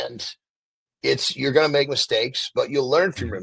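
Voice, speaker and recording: Dry, close sound with no echo at a moderate pace. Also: man. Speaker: podcast host. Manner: casual, conversational.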